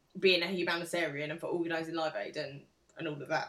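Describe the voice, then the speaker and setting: Her tone bright and sharp, a woman with an English accent speaks at a fairly low pitch with fairly even intonation. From England. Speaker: podcast co-host. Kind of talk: casual chat.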